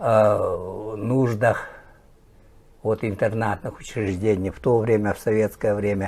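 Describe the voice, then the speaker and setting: Long, frequent pauses break up a man's very slow delivery. His fairly low voice stays monotone and flat. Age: 60s. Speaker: teacher and sports journalist. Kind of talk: interview.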